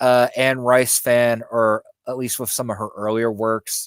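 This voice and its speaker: A man with an American accent at a medium pitch, fairly slow and fairly even in intonation, with a dry, close sound and no echo. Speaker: YouTube spiritual content creator. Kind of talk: casual interview chat. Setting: live stream video call. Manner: hesitant, many fillers.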